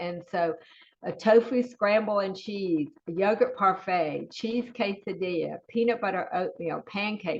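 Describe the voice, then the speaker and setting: Her Southern US accent comes through as the woman speaks at medium pitch. Her pitch variation is ordinary. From US South. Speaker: school food service director. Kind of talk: webinar presentation. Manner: animated.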